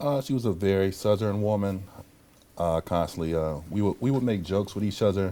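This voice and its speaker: A man speaks at a fairly quick pace in a fairly low pitch. His tone is dark and mellow, with ordinary pitch variation. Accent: American. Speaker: interview guest, victim's son. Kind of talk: TV interview. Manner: halting, many fillers.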